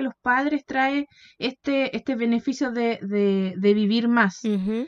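A woman with a Chilean accent speaks at a fairly slow pace. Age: 20s. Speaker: podcast co-host. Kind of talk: casual Bible study chat.

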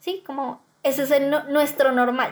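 A woman talks at a high pitch and a fairly slow pace with fairly even intonation. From Colombia, Bogotá. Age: young. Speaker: education student. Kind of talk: interview.

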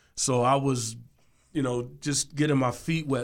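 With an ordinary speaking voice, a man talks at a fairly high pitch, his pitch varying in an ordinary way. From Washington DC. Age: 50s. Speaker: music producer. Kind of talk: interview. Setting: studio.

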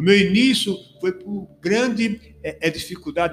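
The man's pace is moderate. His intonation is lively. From Bahia, Brazil (Canudos). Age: 40s. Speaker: pastor and radio presenter. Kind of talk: casual chat. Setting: studio. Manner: halting.

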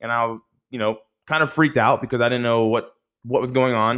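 A man speaks with an American accent at a fairly quick pace. His pitch is medium. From Florida, Tampa area. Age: 20s. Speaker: youth pastor. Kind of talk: testimony. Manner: halting.

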